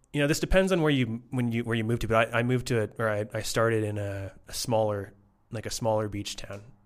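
This is a man with a Canadian accent and an unremarkable speaking voice. His pitch is medium, with ordinary variation, at a moderate pace. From Canada, Toronto. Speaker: data science educator. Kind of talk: casual interview. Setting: in person.

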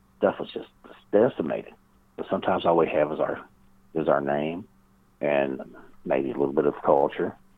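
The speaker talks with a Kentucky accent at a fairly quick pace. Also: man. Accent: Southern US (Kentucky). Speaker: paranormal researcher and author. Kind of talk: interview conversation.

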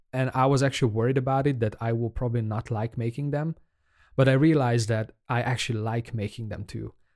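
Very fast speech from a man, intonation fairly even. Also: medium pitch for a man, very clean recording, silent background. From Hungary. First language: Hungarian. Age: 30s. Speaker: podcaster, aspiring indie game developer. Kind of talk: casual solo podcast monologue. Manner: halting, hesitant, with filler words.

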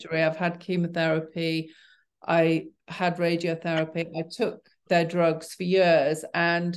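Against a quiet background, a woman with a Yorkshire accent and fairly low pitch talks at a moderate pace. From Yorkshire, northern England. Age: 60s. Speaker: cancer survivor. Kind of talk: interview conversation. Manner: halting.

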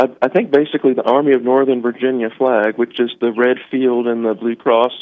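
A man with an American accent and an unremarkable speaking voice, at a moderate pace. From US South. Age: 40s. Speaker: caller. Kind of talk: casual chat. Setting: phone call.

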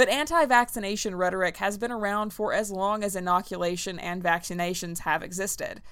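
At a fairly quick pace with hardly any pauses, a woman speaks in a plain, everyday voice, medium in pitch with ordinary pitch variation. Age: 30s. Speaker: history professor and podcast host. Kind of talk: scripted history narration. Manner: casual, irreverent.

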